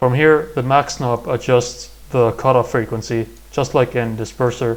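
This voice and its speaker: A man talks at a fairly slow pace in a medium pitch. His intonation is monotone and flat. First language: not English. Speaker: music production tutorial creator. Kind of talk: tutorial. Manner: halting.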